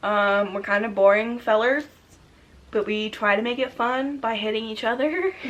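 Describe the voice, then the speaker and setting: Using an ordinary speaking voice, a woman talks at a moderate pace. Her pitch is fairly high, with ordinary pitch variation. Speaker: youtuber. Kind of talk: casual chat.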